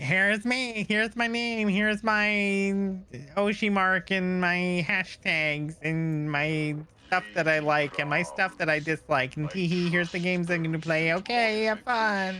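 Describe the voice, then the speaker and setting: In a very clean recording with a silent background, a man does a put-on character voice, high in pitch, at a moderate pace. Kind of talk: cute, bubbly. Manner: cutesy, high-energy.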